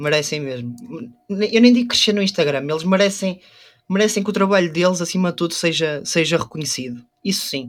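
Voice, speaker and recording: High-pitched male speech at a fairly quick pace with lively intonation. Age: 20s. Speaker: photographer and DJ. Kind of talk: casual chat.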